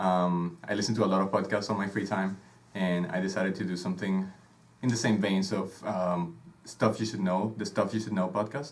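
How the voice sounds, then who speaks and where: Fairly quick, monotone, flat delivery from a man with a Venezuelan accent and a fairly low pitch. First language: Spanish. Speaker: podcast host, conductor. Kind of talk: casual chat. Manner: hesitant, many filler sounds.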